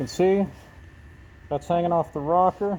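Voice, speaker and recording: Delivery comes at a fairly quick pace with fairly even intonation. The tone is dark and mellow. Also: man. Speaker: auto body painter. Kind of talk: tutorial. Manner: casual, conversational.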